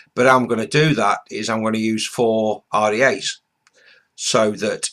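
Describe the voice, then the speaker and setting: The speaker is a man with a medium-pitched voice. His intonation is fairly even. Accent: British. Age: 60s. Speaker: vaping reviewer, retired ex-military. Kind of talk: casual vlog introduction. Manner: hesitant, many fillers.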